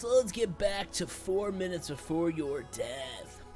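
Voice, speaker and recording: Over clear background music, a man uses a put-on character voice, pitched high, at a moderate pace. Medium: game stream. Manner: dry, sardonic.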